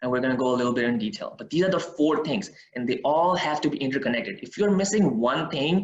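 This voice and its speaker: Talking at a very fast pace with hardly any pauses, a man uses lively intonation. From Pakistan. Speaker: IT worker and day trader presenting. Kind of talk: lecture. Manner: animated.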